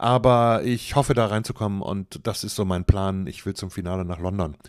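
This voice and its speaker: A man with a normal speaking voice at a moderate pace, with ordinary pitch variation, on a very clean recording with a silent background. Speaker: football podcaster. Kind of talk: solo podcast commentary. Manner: casual, chatty.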